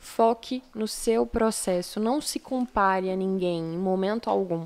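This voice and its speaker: A woman speaks in an unremarkable speaking voice at a fairly slow pace with ordinary pitch variation. The recording is very clean with a silent background. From São Paulo city, Brazil. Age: 20s. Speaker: model and lawyer. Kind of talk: podcast interview. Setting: live-streamed studio podcast.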